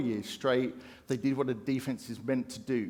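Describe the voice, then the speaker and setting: Speaking in a British accent, a man with a fairly high pitch keeps a fairly quick pace. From UK. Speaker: conference speaker. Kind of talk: keynote talk. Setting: stage with audience.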